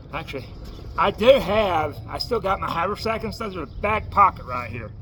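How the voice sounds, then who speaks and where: Speaking at a moderate pace, a man lets his pitch swing very widely. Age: 40s. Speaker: homeless traveler vlogger. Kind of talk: casual vlog showing gear. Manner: stutters; casual, hesitant.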